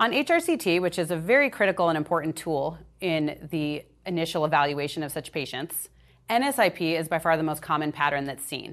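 In a normal speaking voice, a woman talks at a fairly quick pace with fairly low pitch and ordinary pitch variation over a quiet background. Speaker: pulmonologist presenter. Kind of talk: medical lecture presentation.

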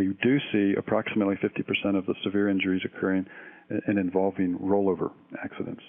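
A fairly low-pitched man with an American accent, at a fairly quick pace. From Oklahoma. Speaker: emergency physician. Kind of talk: interview.

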